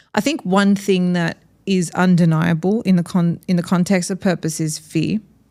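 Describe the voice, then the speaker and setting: A woman with an Australian accent, a fairly low pitch and a dark, mellow tone at a moderate pace, on a very clean recording with a silent background. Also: fairly even intonation. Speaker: podcast host. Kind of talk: casual interview conversation.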